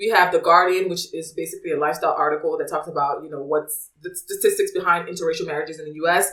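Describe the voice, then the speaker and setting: A woman with an American accent talks at a very fast pace with hardly any pauses. Her tone is animated, with big swings in loudness. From US suburbs. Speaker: podcast host. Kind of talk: casual podcast chat; reading out resource links.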